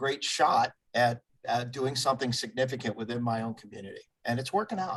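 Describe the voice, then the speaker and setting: At a moderate pace, a man talks in a medium pitch with an unremarkable speaking voice. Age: 60s. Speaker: community group founder. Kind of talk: interview.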